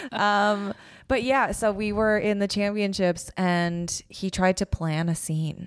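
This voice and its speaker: A woman speaks very slowly at medium pitch with fairly even intonation. The recording is very clean with a silent background. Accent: Canadian. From Calgary, Canada. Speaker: comedian and writer. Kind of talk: casual chat.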